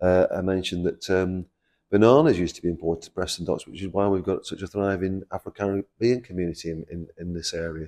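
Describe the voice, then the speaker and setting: A man with a Lancashire accent, very deep, low pitch and a dark, mellow tone, talking at a very fast pace with fairly even intonation against a quiet background. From Preston, Lancashire. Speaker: construction company chairman. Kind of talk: interview. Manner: hesitant, many fillers and repeats.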